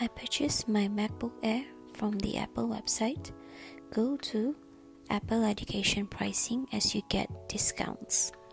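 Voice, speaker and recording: The talking moves at a fairly slow pace while music plays behind it. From Malaysia. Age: 20s. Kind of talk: product unboxing voice-over.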